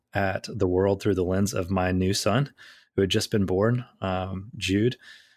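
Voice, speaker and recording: A man's fairly low pitch and fairly even intonation in a normal speaking voice. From southeast Tennessee, US South. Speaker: illusionist and speaker. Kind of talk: interview conversation. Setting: video call.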